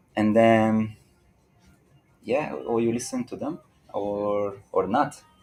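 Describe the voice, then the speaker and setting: With a Hungarian accent, a man speaks at a very slow pace with long, frequent pauses. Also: medium pitch for a man, ordinary pitch variation. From Hungary. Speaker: dancer. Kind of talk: interview.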